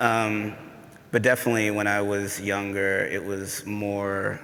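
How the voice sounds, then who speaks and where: Monotone, flat intonation in an American accent, with audible room echo and noticeable background noise. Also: man. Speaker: poet. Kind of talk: panel discussion. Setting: stage with audience. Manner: halting.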